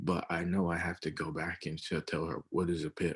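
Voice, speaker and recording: Monotone, flat intonation at a moderate pace, with a quiet background. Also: man. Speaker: forex trader. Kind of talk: casual chat. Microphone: video call.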